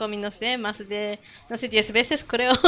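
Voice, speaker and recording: A woman speaks with a Japanese accent. Her pace is fairly slow. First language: Japanese (speaking Spanish). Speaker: language meetup organizer. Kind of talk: casual chat. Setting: studio. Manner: halting.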